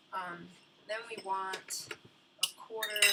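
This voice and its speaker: A woman mumbles her words. Noticeable background noise runs behind her. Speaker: home baker teaching a recipe. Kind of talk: cooking tutorial. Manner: mumbling; casual, hesitant with many ums.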